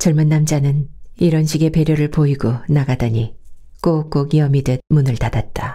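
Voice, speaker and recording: A woman's calm, dark and mellow voice, somewhat breathy. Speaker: audiobook narrator. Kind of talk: novel audiobook reading. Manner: calm, slow.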